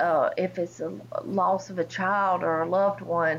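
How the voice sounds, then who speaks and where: A woman's voice in a Southern US accent, with vocal fry and ordinary pitch variation. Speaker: pastor's wife, cancer survivor. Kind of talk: testimony. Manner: halting.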